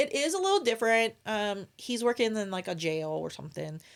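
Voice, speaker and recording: Here a woman speaks with an American accent. Her pitch sits fairly high. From Maryland, US (Salisbury). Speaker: military and police spouse. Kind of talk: casual interview chat. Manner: halting, many fillers.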